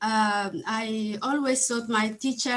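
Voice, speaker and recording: This woman speaks with a Somali accent at a fairly high pitch. Her pace is fairly slow. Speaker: adult learner. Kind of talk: testimony. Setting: video call. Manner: halting.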